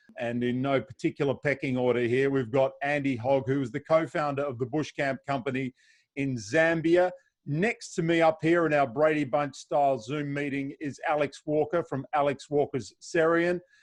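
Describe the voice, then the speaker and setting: A man with an Australian accent at a fairly high pitch and moderate pace. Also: ordinary pitch variation. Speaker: safari travel host. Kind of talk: video call panel moderation. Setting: video call.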